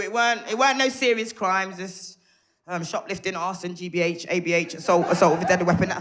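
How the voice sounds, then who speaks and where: A very fast, animated delivery in a Birmingham accent, with audible room echo. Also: woman. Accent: Birmingham (Brummie) English. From Birmingham, England (Handsworth). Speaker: stand-up comedian. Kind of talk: stand-up. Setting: stage with audience.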